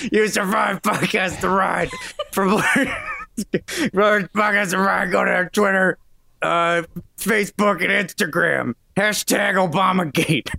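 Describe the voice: A raspy, high-pitched put-on character voice from a man, very slow, with long, frequent pauses.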